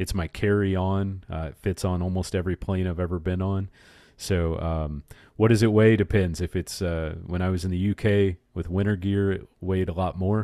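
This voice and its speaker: Over a quiet background, a man with an American accent and a very deep, low pitch speaks in a dark, mellow tone with monotone, flat intonation. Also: moderate pace. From United States. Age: 40s. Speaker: podcast host and pilgrimage author. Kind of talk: casual interview. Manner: hesitant with many fillers.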